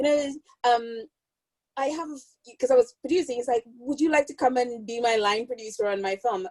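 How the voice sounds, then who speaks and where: A woman speaks with a Caribbean accent and a fairly high pitch, with ordinary pitch variation. The sound is dry and close, with no echo. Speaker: film producer. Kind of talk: casual chat.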